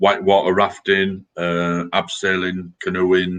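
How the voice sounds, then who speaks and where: This man has a very deep, low pitch and a Yorkshire accent. His intonation stays monotone and flat. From Yorkshire, England (Scarborough). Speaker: army veteran. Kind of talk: casual chat.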